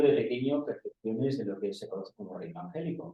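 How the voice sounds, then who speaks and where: Pace here is very fast as a man talks. His voice is fairly high-pitched. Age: 60s. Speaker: audience member. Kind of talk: personal anecdote in Q&A. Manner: halting.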